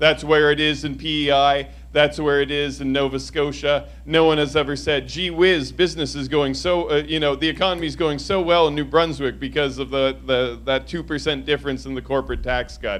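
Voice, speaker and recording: Fairly quick delivery with hardly any pauses. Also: man. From Quebec, Eastern Townships (Lennoxville), anglophone. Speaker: election candidate. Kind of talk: candidate debate answer. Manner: loud.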